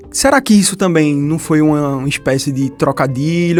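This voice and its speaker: A man talks in an animated tone. He speaks with a Pernambuco accent. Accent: Pernambuco accent, mistaken for Bahian. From Brazil, Pernambuco. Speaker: podcast co-host. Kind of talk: casual chat.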